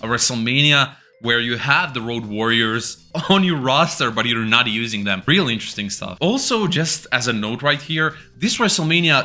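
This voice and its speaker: A man with a Croatian accent speaks in an animated tone at a moderate pace and medium pitch, with music in the background. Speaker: wrestling YouTuber. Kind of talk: casual video review.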